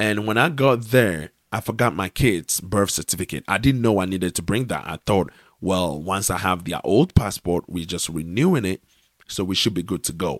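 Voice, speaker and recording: A man speaks at a moderate pace with a very deep, low pitch and ordinary pitch variation. The recording is very clean and dry, with a silent background and close sound with no echo. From Ghana. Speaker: podcast host. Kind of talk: solo commentary monologue.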